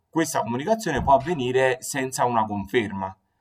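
The background is silent on a very clean recording. On it, a man talks. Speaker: design podcast host. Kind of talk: solo podcast talk on design history. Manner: slow; hesitant, many fillers.

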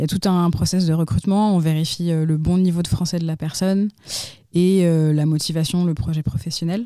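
On a very clean recording with a silent background, a woman with a fairly low pitch and a dark, mellow tone talks at a moderate pace with fairly even intonation and very even loudness. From France, Lyon. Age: 20s. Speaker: nonprofit founder. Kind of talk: interview. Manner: hesitant, with frequent fillers and repetitions.

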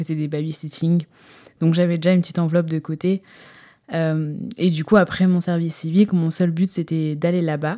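At a fairly quick pace, a woman speaks in a fairly low, monotone, flat voice. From northern France, Lille. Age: 20s. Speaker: podcaster. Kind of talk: casual monologue. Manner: hesitant.

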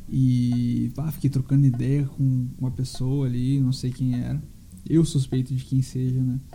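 With music in the background, a man speaks at a fairly slow pace and medium pitch in a monotone, flat intonation. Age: 20s. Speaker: podcaster and musician. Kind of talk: solo monologue.

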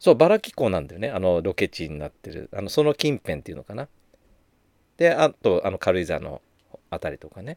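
The speech moves at a fairly quick pace with big swings in loudness. The sound is dry and close, with no echo. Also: man. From Japan, Gunma (Takasaki). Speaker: spiritual podcast host. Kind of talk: casual monologue.

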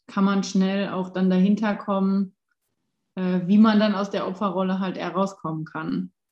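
A woman's voice has a dark, mellow tone. She talks at a moderate pace. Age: 20s. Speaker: life coach. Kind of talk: casual chat.

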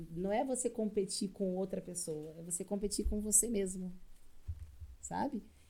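Ordinary pitch variation at a fairly slow pace. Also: woman. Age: 20s. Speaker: CrossFit coach. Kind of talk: casual chat.

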